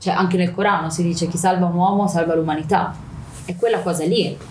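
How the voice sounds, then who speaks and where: With audible room echo, a woman speaks at a fairly quick pace in a fairly low, somewhat breathy voice with monotone, flat intonation. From Milan, Italy. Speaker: activist speaker on Palestine. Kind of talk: interview.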